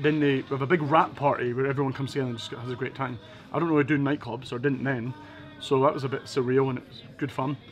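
A man with a Scottish accent talks in an enthusiastic tone at a very fast pace, his loudness swinging widely. Faint music plays in the background. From Edinburgh, Scotland; Scotland. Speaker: motivational speaker. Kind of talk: interview answer. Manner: casual, enthusiastic. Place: bar.

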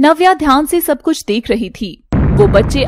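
A woman's voice with very wide pitch swings, in a dry, close sound with no echo. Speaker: storyteller narrating animated story. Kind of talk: dramatic narration of an animated horror-fantasy story, with character voices. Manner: intense, suspenseful, emotional delivery; switches voices between characters.

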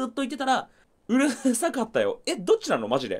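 His speech shows very wide pitch swings as a man talks. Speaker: game streamer. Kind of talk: casual live stream chat. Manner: loud. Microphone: clipping, distorting mic.

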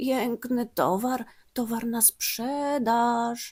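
In a put-on character voice, a woman speaks at a very slow pace with a high pitch. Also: fairly even intonation. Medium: read story. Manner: falsely sweet, cunning.

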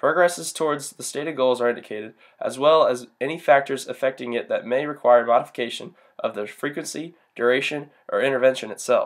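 A plain, everyday voice with an American accent speaks at a fairly quick pace with ordinary pitch variation, captured in a very clean recording against a silent background. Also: man, fairly high pitch for a man. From US South. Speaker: university student. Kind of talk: class presentation. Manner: formal.

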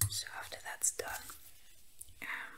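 Someone whispers at a very slow pace. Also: man. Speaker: ASMR roleplay caretaker. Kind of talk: ASMR roleplay, soft helper talking to the listener. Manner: soft-spoken, hesitant, with filler words. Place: home room.

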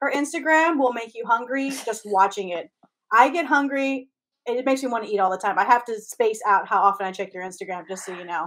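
In an American accent, the voice moves at a fairly quick pace with lively intonation and big swings in loudness. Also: woman, fairly high pitch for a woman. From US, Mexican American family. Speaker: comedian podcast co-host; podcast co-host. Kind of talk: casual chat. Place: home room.

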